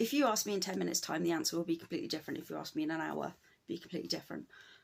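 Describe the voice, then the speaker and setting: A fairly low-pitched woman with a British accent and vocal fry. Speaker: cross stitch YouTuber. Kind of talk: casual vlog talk to camera. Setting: at home. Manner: hesitant, many fillers.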